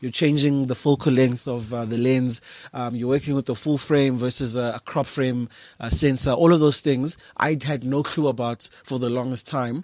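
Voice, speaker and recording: A man has a plain, everyday voice at a medium pitch. He keeps a moderate pace and fairly even intonation. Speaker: photographer and visual artist. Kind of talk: casual interview chat. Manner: articulate, measured.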